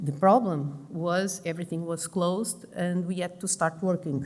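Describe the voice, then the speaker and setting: The voice carries a Portuguese accent, with fairly even intonation. Room echo is audible. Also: woman. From Portugal, Lisbon. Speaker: pulmonologist and intensive care doctor. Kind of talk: conference presentation. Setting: conference stage with audience. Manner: halting, many fillers.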